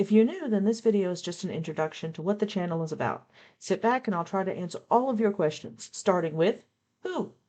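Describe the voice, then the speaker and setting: A woman with an American accent, an ordinary speaking voice and a medium pitch talks at a fairly quick pace with lively intonation over a quiet background. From United States. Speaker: cooking channel host. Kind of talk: channel intro talk to camera.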